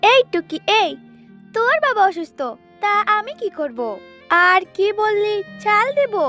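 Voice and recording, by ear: A woman performs a cartoonish character voice at an extremely high pitch, bright and sharp in tone with lively intonation, while faint music plays in the background. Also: fairly slow pace.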